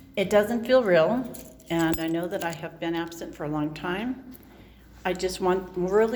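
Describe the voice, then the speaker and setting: Audible room echo surrounds a woman speaking with an American accent in a medium pitch with ordinary pitch variation. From Southern California. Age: 60s. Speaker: vlogger. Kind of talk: casual video diary. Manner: halting, hesitant.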